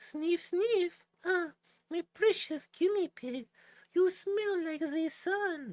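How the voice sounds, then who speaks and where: A squeaky, put-on character voice at an extremely high pitch and a very slow pace. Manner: affectionate, theatrical.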